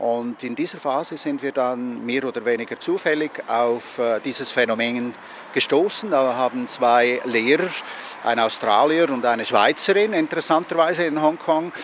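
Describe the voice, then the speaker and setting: A man at a moderate pace with ordinary pitch variation, over noticeable background noise. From Switzerland. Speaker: Reiki master and teacher. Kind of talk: interview answer.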